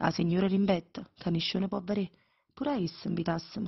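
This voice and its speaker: A woman with a Neapolitan accent talks at a fairly quick pace in a medium pitch. Her voice is somewhat breathy, with fairly even intonation. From Naples, Italy.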